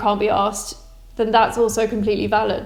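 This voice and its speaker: A woman's very fast, monotone delivery with flat intonation over noticeable background noise. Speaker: guitar setup teacher. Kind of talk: tutorial talk to camera. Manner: casual, reassuring.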